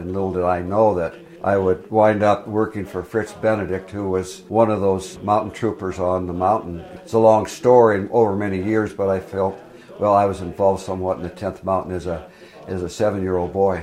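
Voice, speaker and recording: Over noticeable background noise, a man with an American accent speaks fairly quickly in a very deep, low pitch with monotone, flat intonation. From US Pacific Northwest, Enumclaw, Washington. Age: 80s+. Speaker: retired Marine officer and ski instructor. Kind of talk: interview reminiscence.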